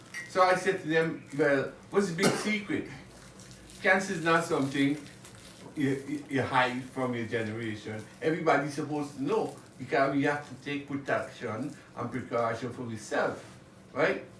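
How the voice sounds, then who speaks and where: A man with a fairly high pitch speaks, and audible room echo surrounds his voice. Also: ordinary pitch variation, moderate pace. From Guyana. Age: 70s. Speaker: music producer and songwriter. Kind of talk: casual interview.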